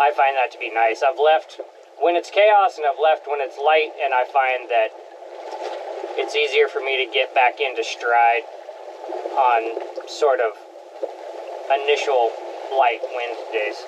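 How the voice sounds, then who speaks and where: Here a man speaks at a fairly slow pace. Long, frequent pauses break his speech, and noticeable background noise is present. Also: ordinary pitch variation. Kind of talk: casual vlog chat. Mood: relaxed, content. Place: boat. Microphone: camera far.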